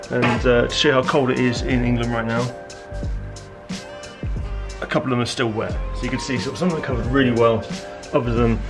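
A man speaking with clear music in the background. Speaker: DIY vlogger. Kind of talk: casual vlog chat. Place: garage. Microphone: phone near.

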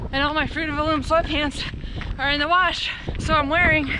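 Against noticeable background noise, a woman uses a raised, projected voice with fairly even intonation, the sound dry with no echo. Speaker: running vlogger. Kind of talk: casual vlog chat. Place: open country. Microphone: phone near.

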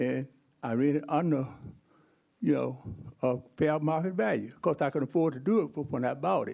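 With lively intonation, the speaker has a dark, mellow tone and a moderate pace. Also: man. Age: 70s. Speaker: public commenter at council meeting. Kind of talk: public comment. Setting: city council meeting. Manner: animated.

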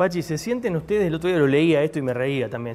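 A man talking very fast, his pitch swinging very widely, with light background noise. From Argentina. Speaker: TV interviewer. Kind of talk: TV interview. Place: bar. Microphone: lapel.

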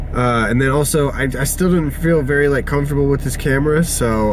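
Noticeable background noise surrounds a man whose voice sounds dry, with no echo. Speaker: vlogger. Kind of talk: casual vlog chat. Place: car. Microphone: phone near.

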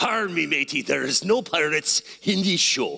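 At a moderate pace, the speaker performs a put-on character voice at a middle pitch. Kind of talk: pirate speak. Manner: playful, joking.

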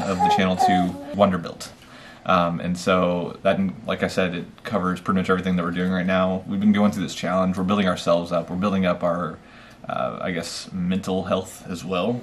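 Over background music, a man talks fairly quickly in a very deep, low voice with monotone, flat intonation. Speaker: channel host. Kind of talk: casual vlog chat. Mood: relaxed, thoughtful. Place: home room. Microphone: camera far.

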